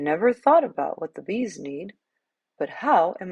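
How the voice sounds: This is a natural reading voice over a quiet background.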